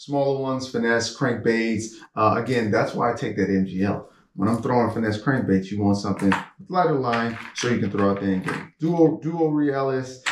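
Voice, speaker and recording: A man speaks at a medium pitch and a moderate pace. His pitch variation is ordinary, and there is audible room echo. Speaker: fishing vlogger. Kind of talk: casual gear show-and-tell. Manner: animated.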